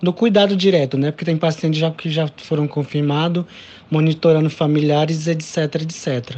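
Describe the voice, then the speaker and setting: A man's high-pitched voice at a moderate pace. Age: 20s. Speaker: doctor. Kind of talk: interview.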